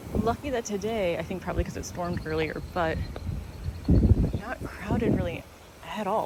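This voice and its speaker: The speaker is soft-spoken. There is noticeable background noise. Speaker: gardening vlogger. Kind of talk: casual vlog narration. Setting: outdoors in gardens. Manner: quiet, soft-spoken.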